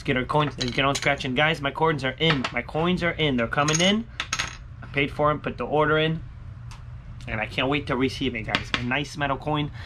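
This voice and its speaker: A man speaks fairly quickly, his intonation fairly even, with noticeable background noise behind him. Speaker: scratch-off ticket vlogger. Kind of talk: casual vlog chat. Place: home room.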